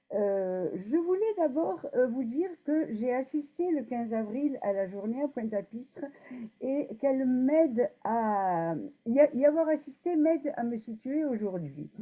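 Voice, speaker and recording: A woman's high voice at a fairly slow pace, with very wide pitch swings. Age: 70s. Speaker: emeritus professor, conference speaker. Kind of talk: conference talk. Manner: hesitant, many fillers.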